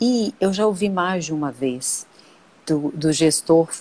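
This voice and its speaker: A woman with a fairly low-pitched voice, a plain, everyday voice. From Brazil, Brasília. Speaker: personal marketing consultant, live stream host. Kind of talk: casual live stream chat. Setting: Instagram live video.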